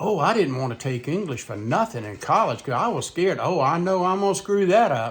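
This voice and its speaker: A man with an American accent speaks at a high pitch with very wide pitch swings. He moves at a fairly quick pace with hardly any pauses. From Southern United States. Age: 70s. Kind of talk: casual talk to camera.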